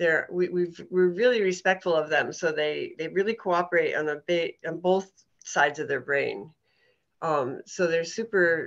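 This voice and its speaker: Using a plain, everyday voice, a woman talks at a moderate pace and fairly low pitch with ordinary pitch variation. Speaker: horse herd keeper and interviewer. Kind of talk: interview question.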